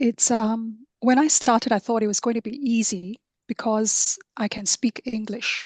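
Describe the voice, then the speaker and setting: A somewhat breathy woman's voice, fairly high in pitch, at a moderate pace, with a dry, close sound and no echo. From Singapore. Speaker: coach for introverts. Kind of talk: interview.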